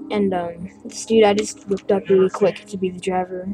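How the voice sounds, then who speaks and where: With music in the background, a woman talks at a medium pitch using fairly even intonation. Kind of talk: casual talk to camera, toy review. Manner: hesitant, many fillers.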